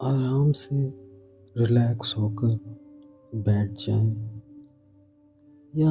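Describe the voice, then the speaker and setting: A soft-spoken man with a gentle tone, medium pitch and fairly even intonation, music in the background. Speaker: yoga teacher, meditation guide. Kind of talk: guided sleep meditation. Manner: whispered; soft, gentle, slow.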